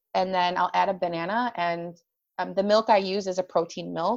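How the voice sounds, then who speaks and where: At a moderate pace, a woman uses an ordinary speaking voice with a medium pitch and ordinary pitch variation. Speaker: life coach for women with chronic illness. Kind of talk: casual interview chat.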